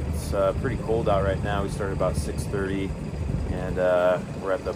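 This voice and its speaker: A man speaks with music playing in the background. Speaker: fishing channel host. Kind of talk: casual vlog chat. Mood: calm, hopeful. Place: boat. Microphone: phone near.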